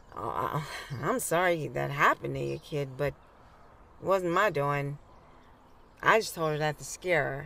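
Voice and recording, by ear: A woman puts on a character voice, low-pitched and fairly bright, with vocal fry and ordinary pitch variation. She goes at a fairly slow pace with long, frequent pauses.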